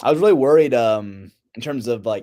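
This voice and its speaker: A man with an American accent talks at a fairly quick pace with lively intonation in a plain, everyday voice, on a very clean recording with a silent background. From Indiana, US. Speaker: pro wrestler. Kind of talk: casual interview.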